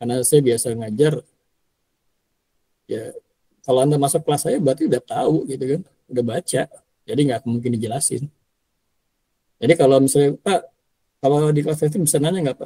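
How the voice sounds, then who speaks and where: This man speaks fairly quickly at a fairly high pitch, with long, frequent pauses and ordinary pitch variation. His voice is somewhat breathy with a dark, mellow tone, and the sound is dry and close with no echo. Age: 50s. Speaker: university lecturer. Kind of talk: lecture. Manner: casual, with many fillers.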